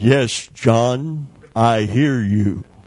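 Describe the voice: Booming put-on character voice from a man, medium in pitch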